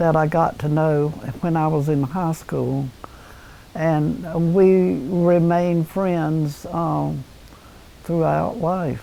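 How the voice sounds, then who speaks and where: Very slowly, a woman with a North Carolina accent speaks in a very deep, low voice with ordinary pitch variation. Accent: Southern American (North Carolina). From Red Oak, North Carolina. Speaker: former town mayor. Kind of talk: oral history interview answer.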